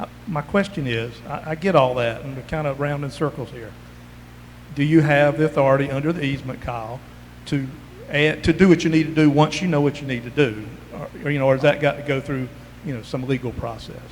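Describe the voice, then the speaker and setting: Amid noticeable background noise, a man with a South Carolina accent talks at a very fast pace and a fairly high pitch, his intonation fairly even but his loudness swinging a lot. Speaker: community member asking questions. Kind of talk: public meeting Q&A.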